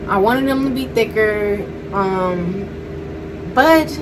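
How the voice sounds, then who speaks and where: There is noticeable background noise and audible room echo. Through it, a woman speaks at medium pitch with ordinary pitch variation. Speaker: beauty vlogger. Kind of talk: casual vlog update. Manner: halting, many fillers.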